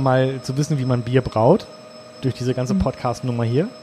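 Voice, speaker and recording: Fairly quick speech from a man, noticeable background noise behind him. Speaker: podcast host. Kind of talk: casual chat. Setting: brewhouse.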